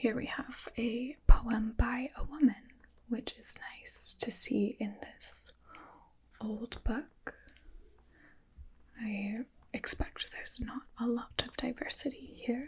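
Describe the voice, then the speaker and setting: Soft-spoken and very slow, the voice moves along with long, frequent pauses. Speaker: ASMR host. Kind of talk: ASMR book review.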